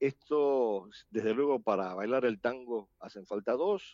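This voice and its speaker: A man's medium-pitched voice with an Argentine accent. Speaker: international relations analyst. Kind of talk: panel discussion. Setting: video call.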